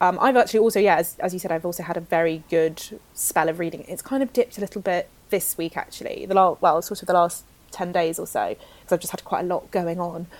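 A woman talks at a very fast pace in a British accent. Her voice is fairly low, with ordinary pitch variation. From rural area. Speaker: book podcast co-host. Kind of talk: casual chat.

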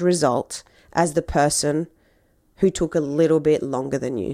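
This woman has a very deep, low pitch and a strong Australian accent. She talks at a moderate pace in an animated, enthusiastic tone. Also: very clean recording, silent background. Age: 30s. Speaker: podcast host, money and business coach. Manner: animated, enthusiastic, casual.

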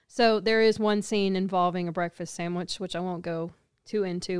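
The delivery comes in a Texan accent at a fairly quick pace. The intonation is fairly even on a very clean recording with a silent background. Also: woman. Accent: Southeast Texas Southern American. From Texas. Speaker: podcast co-host. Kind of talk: casual chat.

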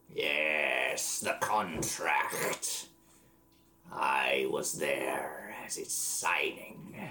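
In a put-on character voice, a man drawls raspily at a very slow pace. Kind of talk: formal archaic speech. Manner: cold, menacing, archaic.

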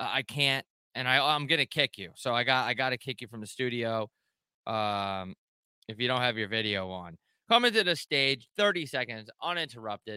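A man at a moderate pace, clear and smooth in tone, bright and sharp as well, with lively intonation and a dry, close sound with no echo.

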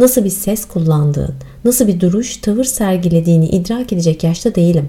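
Speaking at a fairly quick pace, a woman has a medium-pitched voice with a dark, mellow, somewhat breathy tone. Her intonation is lively while her tone stays calm. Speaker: yoga teacher and podcast host. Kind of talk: personal storytelling monologue. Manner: calm, measured.

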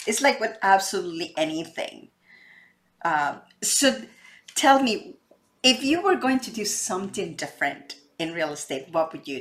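With a Spanish accent, a woman talks at a moderate pace, her pitch making very wide swings and her speech broken by long, frequent pauses. The recording is very clean, with a silent background. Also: medium pitch for a woman. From Mexico. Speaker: real estate podcast host, wealth advisor. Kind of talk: interview.

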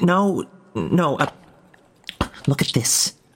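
In a put-on character voice, a man talks at a very slow pace with a fairly high pitch, big pitch swings, a fairly bright tone and a slightly husky edge.

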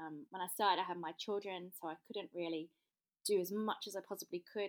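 A woman with an English accent, medium pitch, a fairly quick pace and fairly even intonation. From England. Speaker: small business owner. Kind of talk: interview. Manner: hesitant, many fillers.

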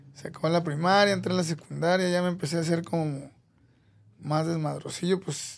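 A man speaks at a fairly quick pace with a Mexico City accent. His pitch is high, and his intonation is monotone and flat. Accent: Mexico City Spanish (chilango). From Mexico City (Iztapalapa). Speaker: MMA fighter's father, former fighter. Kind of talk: casual chat.

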